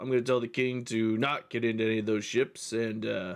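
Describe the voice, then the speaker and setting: In a put-on character voice, a man talks raspily at a moderate pace. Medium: actual play. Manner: casual, slangy, rambling.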